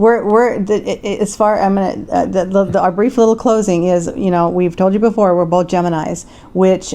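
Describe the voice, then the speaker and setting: This woman's voice has a dark, mellow tone and a medium pitch. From US Pacific Northwest (Tacoma, Washington), partly Philippines. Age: 60s. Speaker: hairdresser and vlogger. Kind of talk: casual chat. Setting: home condo by the beach, on video.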